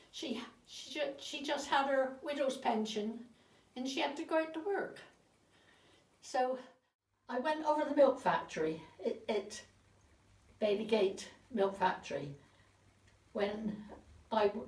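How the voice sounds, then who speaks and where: With a Dorset accent, a woman speaks fairly slowly in a high pitch, her intonation lively and broken by long, frequent pauses. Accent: Dorset West Country English. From Dorset, southern England. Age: 80s+. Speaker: interviewee recounting her life. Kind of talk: reminiscence interview. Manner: halting, with repetitions.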